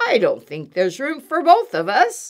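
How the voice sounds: A woman puts on a character voice, pitched high and swinging very widely, at a fairly slow pace.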